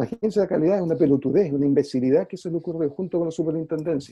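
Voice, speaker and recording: Speaking at a very fast pace with a Chilean accent, a man uses a fairly high pitch, a dark, mellow tone and ordinary pitch variation. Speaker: music teacher and former school principal. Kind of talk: interview conversation.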